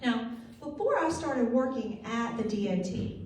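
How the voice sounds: A woman's fairly high, slightly mellow voice with lively intonation and strong room echo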